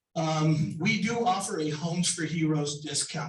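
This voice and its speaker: A man with a fairly high-pitched voice speaks over audible room echo. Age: 60s. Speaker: home inspector and building contractor. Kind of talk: sponsor presentation at a business meeting. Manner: casual with many fillers.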